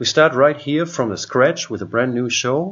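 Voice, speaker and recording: This is a man speaking. He has a non-native accent. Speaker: software trainer; software demonstrator. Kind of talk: tutorial. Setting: home computer screen recording. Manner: hesitant, with many fillers. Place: home room.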